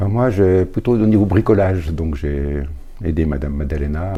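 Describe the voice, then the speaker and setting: A man speaks against noticeable background noise. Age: 70s. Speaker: retired volunteer handyman. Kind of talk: interview testimony.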